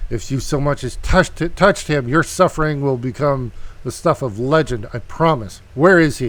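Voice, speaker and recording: A put-on character voice hisses with a menacing tone. It moves at a moderate pace. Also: man, fairly high pitch for a man. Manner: hissing through clenched teeth, menacing.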